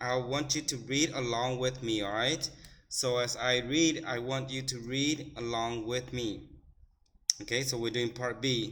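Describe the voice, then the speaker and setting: This man speaks with an American accent at a medium pitch. His pace is fairly slow. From United States. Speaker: English teacher. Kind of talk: classroom reading lesson. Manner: slow, repetitive, instructional.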